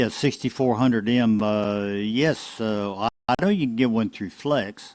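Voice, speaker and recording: On a very clean recording with a silent background, a man of medium pitch speaks with a Southern US accent and ordinary pitch variation. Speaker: ham radio net control. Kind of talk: amateur radio net. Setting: radio broadcast. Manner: halting, many fillers.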